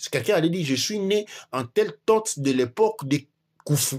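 A somewhat breathy man at a fairly quick pace, very wide pitch swings, very clean recording and silent background. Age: 40s. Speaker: teacher of African spirituality and history. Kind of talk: lecture-style discussion.

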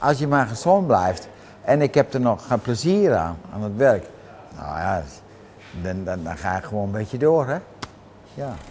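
A man's pitch swings very widely, and he leaves long, frequent pauses. Light background noise can be heard. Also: fairly slow pace. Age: 80s+. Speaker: car mechanic. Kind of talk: interview answer. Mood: cheerful, content. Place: garage. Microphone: lapel.

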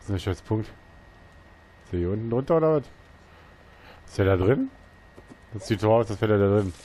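A man's fairly low-pitched voice at a moderate pace, with ordinary pitch variation, big swings in loudness, and long, frequent pauses. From eastern Germany, near Leipzig. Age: 30s. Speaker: gaming YouTuber. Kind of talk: let's play commentary. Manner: casual, chatty.

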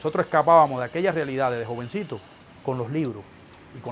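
A man rattles off his words at a very fast pace. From eastern Cuba. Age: 30s. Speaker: political dissident; interviewee. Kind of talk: interview testimony. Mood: earnest, reflective. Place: office.

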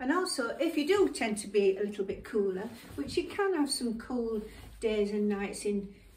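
A woman speaks with a fairly high, somewhat breathy voice. The room gives off an audible echo. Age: 70s. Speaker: fashion vlogger. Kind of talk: casual try-on fashion presentation. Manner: casual with many fillers and hesitations. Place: home room. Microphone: camera far.

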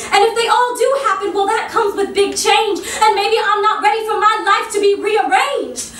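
A woman speaks at an extremely high pitch and a fairly quick pace. Noticeable background noise is present. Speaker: stage actress and poet. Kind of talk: spoken word poetry performance. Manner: impromptu.

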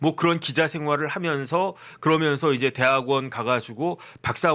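On a very clean recording with a silent background, a man talks at a moderate pace in a fairly high, animated voice. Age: 50s. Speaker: lawyer and political commentator. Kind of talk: political commentary monologue.

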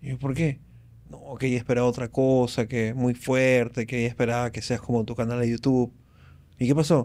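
A man speaks at a fairly quick pace. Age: 40s. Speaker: stand-up comedian; podcast guest, comedian. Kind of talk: casual chat. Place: studio. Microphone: studio mic.

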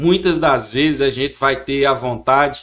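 Against a quiet background, a man speaks at a moderate pace and fairly high pitch with fairly even intonation. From Chapada do Norte, Minas Gerais, Brazil; Minas Gerais, Brazil. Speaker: town mayor. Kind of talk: political interview. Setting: studio. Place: studio. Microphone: studio mic.

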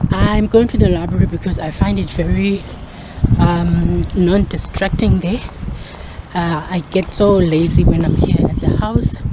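Over loud background noise, a woman talks at a moderate pace. The sound is dry, with no echo. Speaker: vlogger. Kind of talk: casual vlog chat. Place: street. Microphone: phone near.

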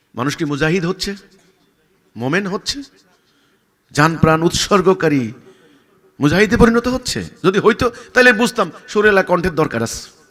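A man speaks loudly in a high voice. His intonation is lively. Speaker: religious leader. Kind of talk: answering a question, speech-like explanation. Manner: loud, forceful; sharp, stern tone.

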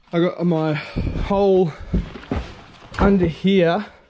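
A man talks in monotone, flat intonation while noticeable background noise continues. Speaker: fishing vlogger. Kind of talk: casual vlog chat. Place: garden. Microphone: phone near.

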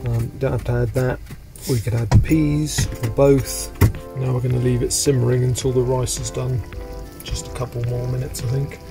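Moderate pace over clear background music. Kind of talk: cooking tutorial narration. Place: kitchen.

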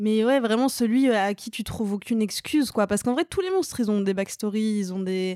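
In a very clean recording with a silent background, a woman speaks fairly quickly with hardly any pauses, her fairly high voice dark and mellow in tone with ordinary pitch variation. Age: 30s. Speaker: stand-up comedian and screenwriter. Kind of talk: casual chat.

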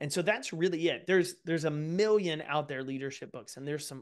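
Against a quiet background, a man speaks at a very fast pace. His pitch is fairly high. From East Texas. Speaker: author and speaker; speaker. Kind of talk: interview conversation. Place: home room. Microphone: studio mic.

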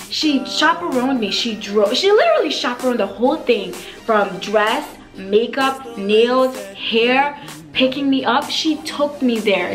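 The pace is fairly slow. Music plays clearly in the background. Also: woman. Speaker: beauty vlogger. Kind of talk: casual vlog storytelling. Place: home room.

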